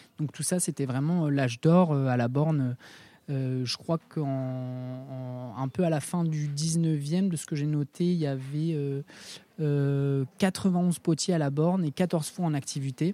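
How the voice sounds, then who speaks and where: At a very slow pace, a man speaks with a dark, mellow tone, fairly high pitch and fairly even intonation, recorded dry and close with no echo. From southern France. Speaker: ceramicist at a ceramics centre. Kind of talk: casual interview. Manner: halting, many repetitions and fillers.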